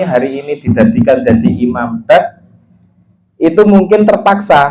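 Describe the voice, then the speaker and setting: A man speaks at a fairly slow pace in a Javanese accent. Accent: Javanese-accented Indonesian. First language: Javanese (speaking Indonesian). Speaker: religious teacher. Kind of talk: religious study lesson. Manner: casual, mixing Javanese and Indonesian.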